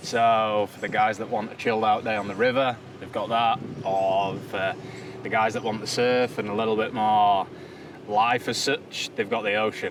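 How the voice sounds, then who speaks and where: A man with a Yorkshire accent, a fairly low voice and monotone, flat intonation at a moderate pace. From Yorkshire, England. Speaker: caravan park worker. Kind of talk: interview.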